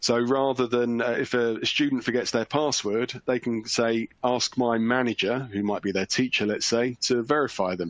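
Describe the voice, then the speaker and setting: A man with a British accent speaks at medium pitch and a moderate pace, with fairly even intonation and hardly any pauses. The sound is dry and close with no echo, over a quiet background. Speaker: password security vendor expert. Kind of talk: webinar panel discussion. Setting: online webcast. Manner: halting.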